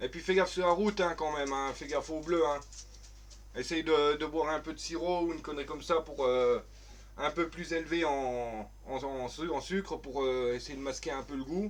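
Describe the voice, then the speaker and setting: A man speaks with a strong Vosges accent in a fairly high voice. He keeps a moderate pace with ordinary pitch variation. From France, Vosges. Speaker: gaming streamer. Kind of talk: live stream gameplay chat. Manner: hesitant, many fillers.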